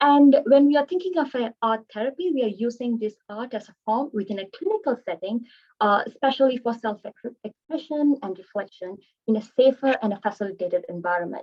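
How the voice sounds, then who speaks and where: A woman with a Tamil accent, lively intonation, and a fairly quick pace. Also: fairly high pitch for a woman. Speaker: art therapist. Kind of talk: webinar presentation.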